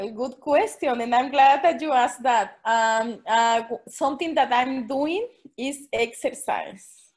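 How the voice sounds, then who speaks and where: Hardly pausing, a woman with a Spanish accent speaks at a fairly slow pace in a high voice with ordinary pitch variation. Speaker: special education teacher. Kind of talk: Q&A at online forum. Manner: halting.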